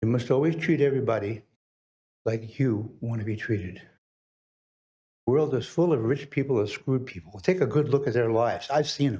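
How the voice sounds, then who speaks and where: A man with a somewhat breathy, dark and mellow voice talks fairly quickly at a medium pitch with ordinary pitch variation, broken by long, frequent pauses. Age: 80s+. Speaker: public commenter. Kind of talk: public comment at council meeting. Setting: city council meeting.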